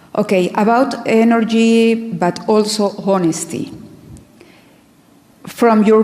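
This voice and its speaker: Over noticeable background noise, a woman speaks very slowly with a Spanish accent. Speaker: moderator. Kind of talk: audience Q&A. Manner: halting.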